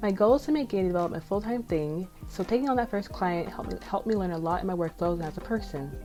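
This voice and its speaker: A woman speaks very fast at medium pitch with lively intonation and hardly any pauses. Music plays behind her. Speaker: indie game developer and pixel artist. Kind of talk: casual devlog talk. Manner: sometimes mumbles or runs words together.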